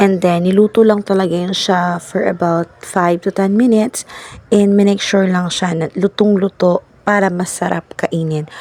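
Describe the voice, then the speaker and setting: The voice runs in a flat monotone, with a dry, close sound and no echo. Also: woman, medium pitch for a woman, moderate pace. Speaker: vlogger. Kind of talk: cooking vlog.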